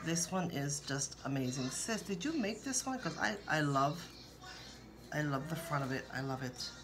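A woman's very deep, low voice with ordinary pitch variation and a moderate pace, faint music in the background. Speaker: vlogger sharing received cards. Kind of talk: casual vlog chat. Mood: warm, grateful, soft-spoken. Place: kitchen. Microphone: phone near.

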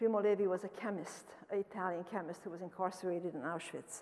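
A woman with a Romanian accent talks at a fairly quick pace. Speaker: professor. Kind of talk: lecture. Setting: stage with audience. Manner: fast talker. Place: hall. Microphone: podium.

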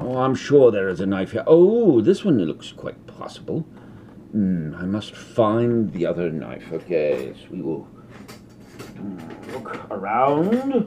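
A man speaks at a very slow pace. Background noise is noticeable. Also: big swings in loudness. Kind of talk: comedic cooking tutorial in character. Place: kitchen. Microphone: phone near.

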